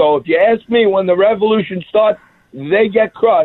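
A man speaks with a New York accent. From Staten Island, New York City. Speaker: TV host. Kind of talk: radio interview.

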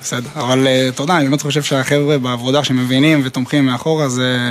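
Noticeable background noise sits behind a man speaking at a moderate pace. His medium-pitched voice has fairly even intonation. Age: 30s. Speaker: reserve officer. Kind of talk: interview. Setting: military post outdoors in north.

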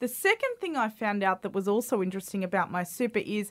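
A woman with a fairly high voice speaks in a very clean recording against a silent background, the sound dry and close with no echo. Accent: Australian. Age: 30s. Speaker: podcast host. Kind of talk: scripted intro; casual interview.

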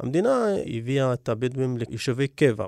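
In an Arabic accent, a man of medium pitch speaks at a moderate pace, the sound dry and close with no echo on a very clean recording against a silent background. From Negev Bedouin, Israel. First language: Arabic (speaking Hebrew). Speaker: community organizer. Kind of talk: interview.

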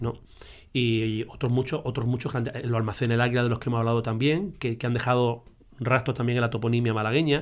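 A man talks at a very fast pace with medium pitch and fairly even intonation. The recording is very clean, with a silent background. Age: 50s. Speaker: teacher and local historian. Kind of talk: casual conversation.

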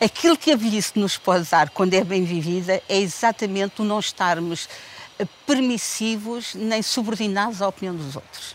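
Medium pitch from a woman at a moderate pace, ordinary pitch variation, and noticeable background noise. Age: 70s. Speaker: mature university student. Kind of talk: casual chat.

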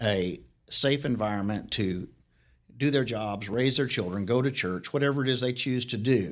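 In a very clean recording with a silent background, a man with an American accent uses a normal speaking voice with lively intonation. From Arizona. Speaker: county sheriff. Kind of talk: interview conversation.

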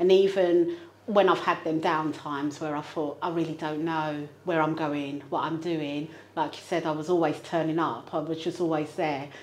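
The voice has monotone, flat intonation, with audible room echo. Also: woman, very deep, low pitch for a woman, moderate pace. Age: 40s. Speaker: property investor and project manager. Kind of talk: interview. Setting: studio.

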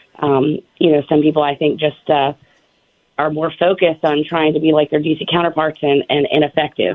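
A woman's very deep, low voice in an American accent, with very even loudness, fairly even intonation and a moderate pace. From Virginia (Suffolk). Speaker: state legislator. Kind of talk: radio interview.

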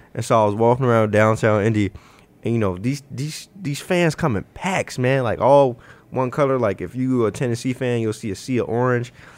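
A man with an American accent speaks in a normal speaking voice at a fairly quick pace, his medium pitch showing ordinary variation. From Chicago. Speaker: sports writer covering college basketball. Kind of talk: casual sports podcast chat.

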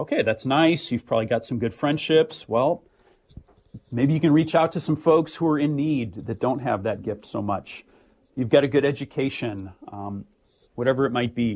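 A man with an American accent has an ordinary speaking voice, fairly high in pitch. He talks at a moderate pace with ordinary pitch variation. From US Midwest, St. Louis, Missouri. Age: 40s. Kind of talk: radio interview.

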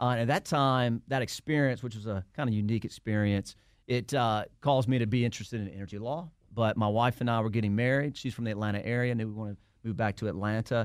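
Talking at a very fast pace in a Southern US accent, a man has a medium pitch and ordinary pitch variation on a very clean recording with a silent background. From Alabama, US South. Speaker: lawyer and entrepreneur. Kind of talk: casual interview.

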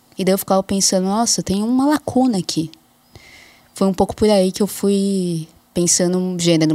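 Her fairly low pitch carries a dark, mellow tone, and this woman keeps her intonation fairly even. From interior of São Paulo state, Brazil. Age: 30s. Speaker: anthropologist. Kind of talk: interview.

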